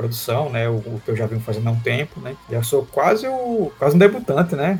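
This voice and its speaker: A man speaks at a fairly quick pace in a medium pitch, with noticeable background noise behind him. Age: 30s. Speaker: comic artist and illustrator. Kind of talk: casual interview chat.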